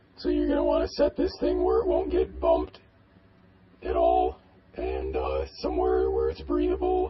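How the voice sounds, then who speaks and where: Using a put-on character voice, a man speaks with a very deep, low pitch. His pace is moderate. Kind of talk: how-to narration. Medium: role play.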